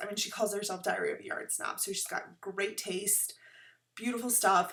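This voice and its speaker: A woman talks in a plain, everyday voice. Her pitch is medium and her pace moderate. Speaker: knitting podcaster. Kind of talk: casual chat.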